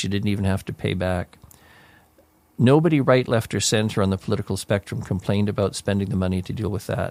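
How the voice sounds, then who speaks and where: A very fast-talking man in a Canadian accent. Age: 70s. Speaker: city mayor. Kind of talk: radio interview. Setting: radio studio. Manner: halting, with frequent repetitions and fillers.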